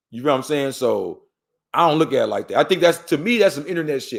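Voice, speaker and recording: Vocal fry runs through a fairly quick voice with an American accent, recorded very cleanly over a silent background. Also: man. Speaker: interview guest, former gang member. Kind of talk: casual interview chat. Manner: animated.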